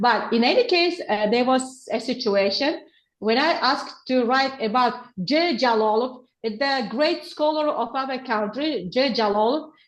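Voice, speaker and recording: Speaking with an Uzbek accent, a woman has a high pitch and ordinary pitch variation. Her pace is fairly slow and her loudness very even. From Uzbekistan. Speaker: teacher trainer, researcher. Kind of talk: webinar Q&A answer. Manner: halting.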